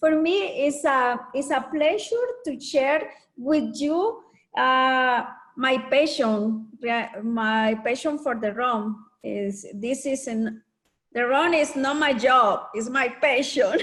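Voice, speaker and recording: Very slowly, a woman with a Spanish accent speaks at a high pitch. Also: ordinary pitch variation. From Nicaragua. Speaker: master rum blender. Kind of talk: presentation to online audience. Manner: halting English.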